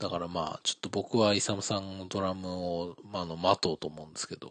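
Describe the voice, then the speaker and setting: A man speaks in an ordinary speaking voice at a fairly low pitch. The sound is dry and close, with no echo. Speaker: podcast host. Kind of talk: casual chat. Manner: casual, joking, talkative.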